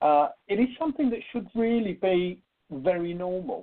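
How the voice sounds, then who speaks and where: A man with a high-pitched voice talks at a moderate speed. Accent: British. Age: 60s. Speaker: spiritual medium. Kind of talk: radio interview.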